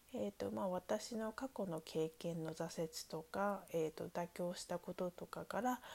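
A woman with a dark, mellow tone speaks at medium pitch and a fairly slow pace, with ordinary pitch variation. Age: 20s. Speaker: podcast host. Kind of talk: personal monologue. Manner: hesitant, many fillers.

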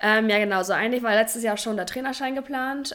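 With an ordinary speaking voice, a woman speaks in a fairly high pitch and fairly even intonation on a very clean recording with a silent background. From northern Germany, Oldenburg. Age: 20s. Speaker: physiotherapist and youth handball coach. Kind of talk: casual interview.

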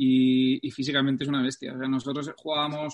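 A man's fairly high voice moves at a moderate pace with monotone, flat intonation. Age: 30s. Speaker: football fitness coach. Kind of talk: interview.

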